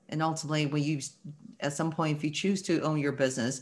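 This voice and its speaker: A woman's very deep, low pitch against a quiet background. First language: not English. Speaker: company founder and architect. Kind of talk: interview.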